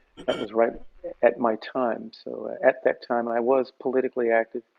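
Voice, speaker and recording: Music plays in the background as the speaker moves at a fairly quick pace with monotone, flat intonation. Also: man. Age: 60s. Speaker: session musician and music teacher. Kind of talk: interview conversation.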